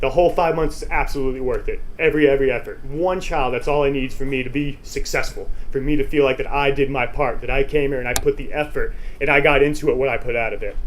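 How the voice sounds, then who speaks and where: A man talks at a very fast pace. Audible room echo and noticeable background noise surround his voice. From Texas. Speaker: motivational speaker. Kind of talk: conference presentation. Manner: animated.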